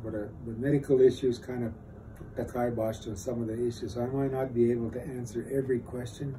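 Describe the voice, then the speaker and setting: A man's very fast, flat monotone at a medium pitch, dark and mellow and somewhat breathy, in an American accent. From northern Minnesota reservation. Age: 70s. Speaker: war veteran. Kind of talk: interview testimony. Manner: halting.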